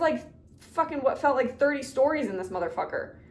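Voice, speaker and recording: Very fast, animated speech comes from a woman with a high pitch. Room echo is audible. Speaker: book YouTuber. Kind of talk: casual chat.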